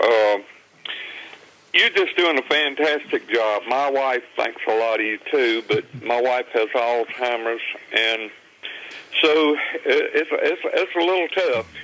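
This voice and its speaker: A man speaks at a very slow pace with long, frequent pauses and very even loudness. His pitch variation is ordinary, and noticeable background noise is present. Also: fairly high pitch for a man. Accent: Southern US. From Virginia. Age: 70s. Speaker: caller. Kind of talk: phone-in call. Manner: halting, stammering.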